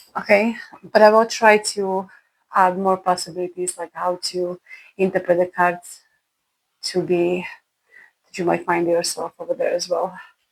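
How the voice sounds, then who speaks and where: Her speech at a moderate pace shows a woman with a medium pitch, a non-native accent, monotone, flat intonation, long, frequent pauses, and big swings in loudness. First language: not English. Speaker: tarot reader. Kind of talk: tarot reading.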